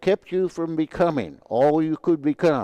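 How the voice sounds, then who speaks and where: A man's fairly high voice has a dark, mellow tone, a moderate pace and a dry, close sound with no echo. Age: 70s. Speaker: storyteller and motivational talker. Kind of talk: personal monologue. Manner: halting.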